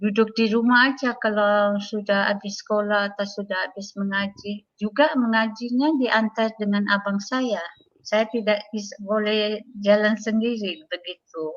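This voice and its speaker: Speaking at a fairly slow pace, a woman uses a fairly high pitch with fairly even intonation. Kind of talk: testimony. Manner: halting, many fillers.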